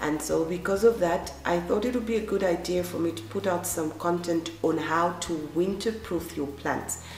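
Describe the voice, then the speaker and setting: A woman's fairly low voice with lively intonation, audible room echo and noticeable background noise. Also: moderate pace, hardly any pauses. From Zambia. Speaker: gardening vlogger. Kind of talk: tutorial.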